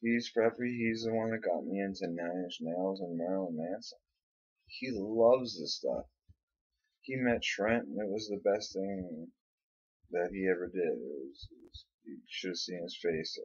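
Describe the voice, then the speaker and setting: A man with a plain, everyday voice talks at a moderate pace in a fairly low pitch, with ordinary pitch variation and big swings in loudness. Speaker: vlogger. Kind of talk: casual monologue vlog.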